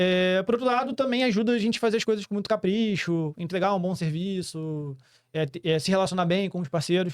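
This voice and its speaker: In a very clean recording with a silent background, a man with a high pitch speaks at a fairly quick pace. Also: ordinary pitch variation. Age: 30s. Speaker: entrepreneur. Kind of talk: podcast interview. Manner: fast.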